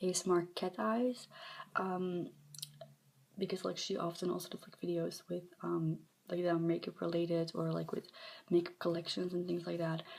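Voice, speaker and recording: This soft-spoken woman has a fairly low pitch. She talks at a moderate pace. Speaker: ASMR content creator. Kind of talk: soft-spoken ASMR show-and-tell. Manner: hesitant, many filler ums.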